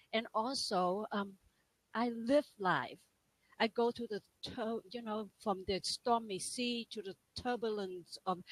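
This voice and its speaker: Speaking with a Vietnamese accent, a woman uses a fairly high pitch and fairly even intonation. Her pace is very slow, and the sound is dry and close with no echo. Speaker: life and business coach. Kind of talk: interview testimony. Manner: halting.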